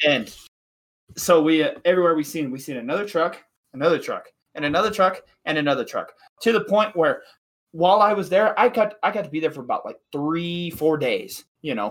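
High-pitched man with an American accent, animated and fairly quick, his intonation lively. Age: 20s. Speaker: podcast co-host. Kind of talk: casual chat.

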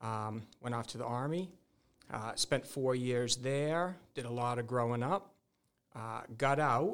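At a fairly slow pace, a man talks in a normal speaking voice, medium in pitch and with ordinary pitch variation. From Massachusetts, central. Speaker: real estate lawyer. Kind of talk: interview.

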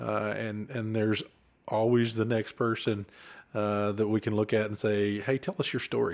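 Recorded very cleanly against a silent background, a man speaks with an Oklahoma accent. His pitch is medium and his pace moderate. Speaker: former state trooper, podcast co-host. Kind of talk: casual chat.

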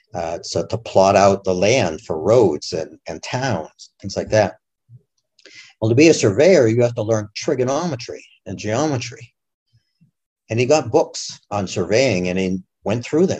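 In an American accent, a man with an ordinary speaking voice talks at a fairly slow pace in a medium pitch with lively intonation. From Massachusetts. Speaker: scientist and author. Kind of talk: interview.

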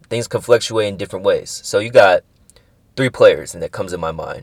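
A man's voice on a very clean recording, the background silent. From San Francisco Bay Area, California. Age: 20s. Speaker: podcast host, college student. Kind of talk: casual solo monologue.

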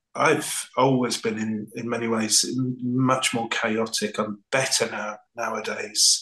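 At a very slow pace, a man speaks in a monotone, flat intonation with hardly any pauses. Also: medium pitch for a man. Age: 40s. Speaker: podcast co-host, artist. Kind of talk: interview.

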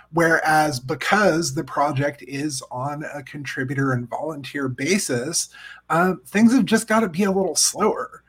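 Using an ordinary speaking voice, a man talks at a fairly slow pace. His pitch is fairly high, with ordinary pitch variation. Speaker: podcast co-host. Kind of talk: casual chat. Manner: jokey, playful.

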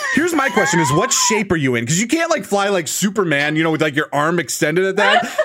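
In an animated, upbeat tone with an American accent, a man races along at a very fast pace and a high pitch, with hardly any pauses, very wide pitch swings and very even loudness, over noticeable background noise. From US Midwest. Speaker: podcast host and streamer. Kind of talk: casual podcast chat.

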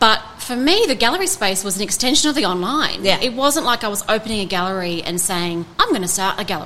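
Over noticeable background noise, the speech races along very fast with lively intonation and hardly any pauses. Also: woman, fairly high pitch for a woman. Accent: Australian. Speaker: art gallery owner. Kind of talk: interview. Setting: in a gallery.

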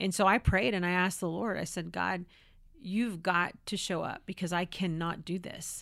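A woman talks in a plain, everyday voice at a moderate pace. Her pitch is fairly low. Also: fairly even intonation, very clean recording, silent background. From California. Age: 40s. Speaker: police spokesperson and pro-life speaker. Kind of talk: interview conversation.

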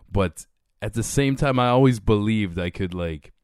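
Speaking with a normal speaking voice, a man uses a fairly low pitch, lively intonation, and a moderate pace, captured in a dry, close sound with no echo on a very clean recording with a silent background. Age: 30s. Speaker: podcast host. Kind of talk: casual chat.

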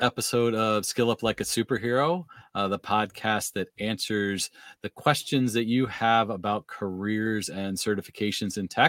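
A man talks at a moderate pace and medium pitch in a normal speaking voice with ordinary pitch variation. The sound is dry and close with no echo, a very clean recording against a silent background. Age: 50s. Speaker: podcast host and tech trainer. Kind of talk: casual interview.

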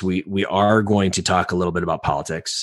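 This man talks at a fairly quick pace in a very deep, low voice. Noticeable background noise runs behind him. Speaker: podcast co-host. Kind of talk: casual chat.

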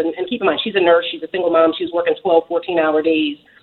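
A woman's plain, everyday voice, medium in pitch, with an American accent and ordinary pitch variation. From Philadelphia, US. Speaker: real estate investor and author. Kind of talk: radio interview. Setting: phone call.

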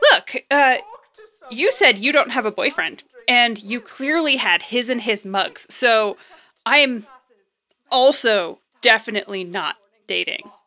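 A woman does a put-on character voice with a bright, sharp tone at a fairly high pitch. She goes at a slow pace with lively intonation.

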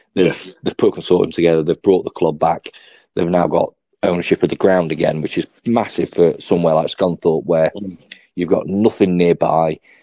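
A man with an English accent speaks at a fairly quick pace. His voice is very deep and low, with a dark, mellow tone and monotone, flat intonation. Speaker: sports podcast host. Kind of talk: casual chat.

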